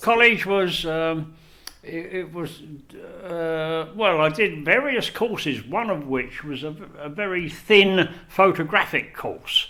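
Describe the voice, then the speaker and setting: In a South London accent, a man speaks very slowly in a high voice with a bright, sharp tone. His pitch varies in an ordinary way while his loudness swings a lot. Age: 70s. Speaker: retired photographer and former teacher. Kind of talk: oral history interview. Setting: library meeting room.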